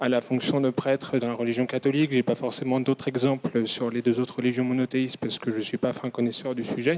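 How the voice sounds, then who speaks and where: In a dry, close recording with no echo, a man speaks at a very fast pace with hardly any pauses, his pitch medium and his intonation monotone and flat. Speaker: audience member asking questions. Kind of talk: audience question at a conference. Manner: hesitant, many fillers.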